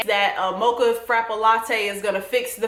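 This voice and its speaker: A woman with a Southern US accent speaks in an animated tone. The audio has audible room echo and noticeable background noise. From US South. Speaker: TV recap vlogger. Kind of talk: casual vlog commentary.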